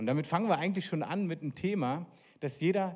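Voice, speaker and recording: On a very clean recording with a silent background, a man with a high pitch speaks in an animated tone. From East Berlin, Germany. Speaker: evangelist, guest preacher. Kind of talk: sermon.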